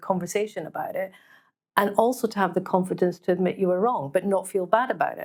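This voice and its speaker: In a Scottish accent, the speaker talks at a fairly quick pace with ordinary pitch variation on a very clean recording with a silent background. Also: woman. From Scotland. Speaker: business leader panelist. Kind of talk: panel discussion.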